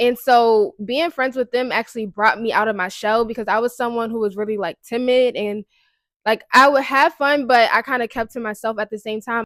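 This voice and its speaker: A speaker with an American accent talks at a fairly quick pace with ordinary pitch variation, in a dry, close recording with no echo, very clean and with a silent background. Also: woman, fairly high pitch for a woman. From Baltimore, US. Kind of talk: casual personal testimony. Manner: casual, conversational.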